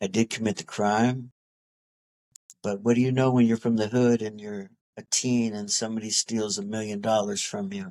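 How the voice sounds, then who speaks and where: Speaking with an American accent, a man with a fairly low pitch keeps a moderate pace and fairly even intonation. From Los Angeles, US. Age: 60s. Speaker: former boxer. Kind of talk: interview. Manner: halting.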